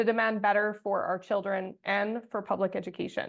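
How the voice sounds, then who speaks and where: A woman with a Canadian Prairie accent and a fairly high pitch. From Saskatchewan, Canada. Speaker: teachers' union president. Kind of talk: panel presentation.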